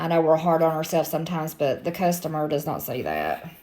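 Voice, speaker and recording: A woman talks at a fairly quick pace with a very deep, low pitch. Her voice has vocal fry and fairly even intonation. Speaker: crafter selling handmade items. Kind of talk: tutorial. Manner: casual, chatty.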